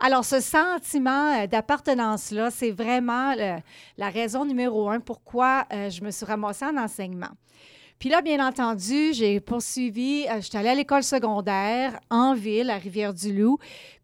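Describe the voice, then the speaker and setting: A woman with a normal speaking voice talks at a fairly slow pace in a fairly high pitch with ordinary pitch variation. The recording is very clean, with a silent background. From Quebec, small village. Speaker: education lecturer. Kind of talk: interview.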